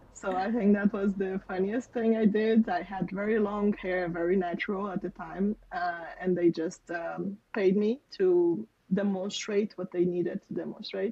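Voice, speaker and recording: Speaking at a fairly slow pace with hardly any pauses, a woman with a Portuguese accent holds a medium pitch and a monotone, flat intonation. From Portugal. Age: 30s. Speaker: software developer. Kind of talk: interview.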